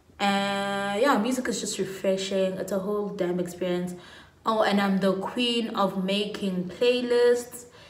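The speaker has an animated tone and goes at a fairly slow pace, with audible room echo. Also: woman. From South Africa, Pietermaritzburg, KwaZulu-Natal. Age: 20s. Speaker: lifestyle YouTuber. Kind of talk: casual vlog monologue. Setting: at home. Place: home room. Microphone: phone near.

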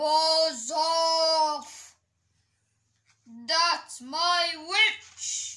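The put-on character voice sits at an extremely high pitch and sounds shrill. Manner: shrieking.

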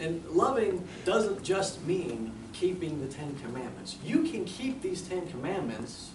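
Noticeable noise sits behind a man who speaks very slowly. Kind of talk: persuasive class speech. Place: classroom. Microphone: camera far.

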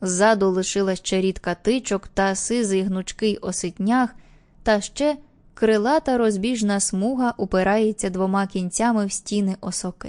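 Against a quiet background, a woman speaks in an unremarkable speaking voice at a medium pitch. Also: fairly even intonation, fairly slow pace. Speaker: audiobook narrator. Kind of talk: audiobook reading of an old fisherman telling a story, in character.

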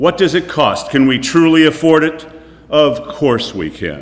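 Fairly slowly, a man delivers his words. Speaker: poet. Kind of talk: poetry reading. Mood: intense, critical tone. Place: studio.

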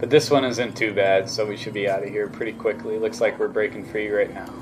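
A man's fairly low, monotone, flat voice over noticeable background noise. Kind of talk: casual vlog chat. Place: car. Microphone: phone near.

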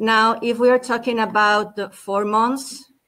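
With a Spanish accent, a woman talks at a medium pitch in a flat, monotone delivery. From Spain. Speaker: national tourist board official; panelist. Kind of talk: panel debate. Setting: video call. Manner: hesitant, many fillers. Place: home room.

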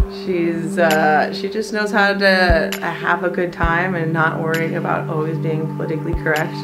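A woman speaks at a moderate pace while loud music plays behind her. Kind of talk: casual vlog chat. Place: empty room. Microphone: phone near.

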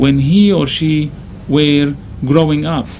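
A man with a Syrian accent, fairly high in pitch and fairly slow in pace, over light background noise. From Syria, Damascus. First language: Arabic. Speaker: imam. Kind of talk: interview. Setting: studio. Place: studio.

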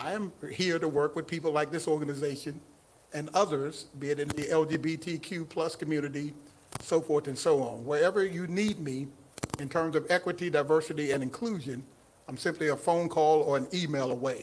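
A man with a Southern US accent, fairly high pitch and fairly quick pace, over light background noise. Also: fairly even intonation. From Mississippi. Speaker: county equity director; guest. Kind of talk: casual chat. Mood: warm, earnest, welcoming. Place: stage. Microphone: handheld.

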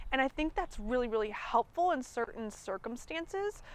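A woman talks fairly quickly in a high pitch, the sound dry with no echo. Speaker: nutrition coach. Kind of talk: coaching conversation. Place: garden. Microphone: lapel.

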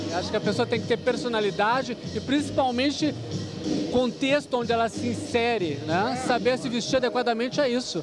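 The sound is dry with no echo, and clear music plays in the background. A man speaks at a fairly quick pace. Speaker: fashion TV host. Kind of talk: TV interviewer. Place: hall. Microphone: handheld.

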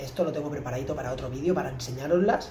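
A man speaks with audible room echo. Light background noise sits under his voice. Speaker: gamer streamer. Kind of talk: gameplay commentary. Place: home room.

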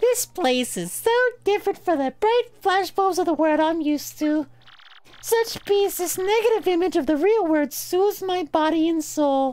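A man in a put-on character voice, squeaky and theatrical, with an extremely high pitch and a moderate pace. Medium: solo performance. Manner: theatrical, refined.

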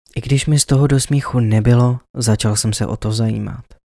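Dark, mellow, dramatic tone from a man, dry and close with no echo, in a very clean recording with a silent background. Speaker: storyteller. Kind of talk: creepypasta horror story narration, first-person. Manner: suspenseful, hushed, slowly building dread; dramatic, emotional, fearful tone at climactic moments.

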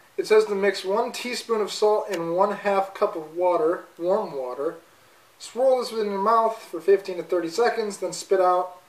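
With audible room echo behind him, a man talks at a moderate pace in a high pitch with ordinary pitch variation. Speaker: student vlogger. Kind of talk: casual vlog chat. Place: kitchen.

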